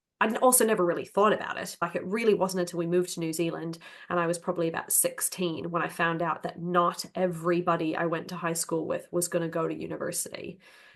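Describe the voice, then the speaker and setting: Someone talks very fast in an American accent, with hardly any pauses and a monotone, flat intonation. There is noticeable background noise. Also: woman, fairly low pitch for a woman. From United States. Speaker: tech community member. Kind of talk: casual chat.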